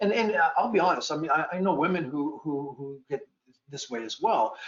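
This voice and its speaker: A man with a Boston accent speaks at a high pitch. His pace is fairly quick and his intonation is lively. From Boston area, US. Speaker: animal welfare law enforcement officer, panelist. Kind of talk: panel discussion. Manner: repetitive, stammering restarts.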